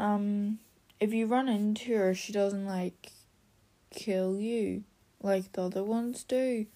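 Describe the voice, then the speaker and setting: A woman's medium-pitched, dark, mellow voice, monotone and flat, at a very slow pace with long, frequent pauses. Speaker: gaming podcaster. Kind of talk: casual monologue. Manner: halting.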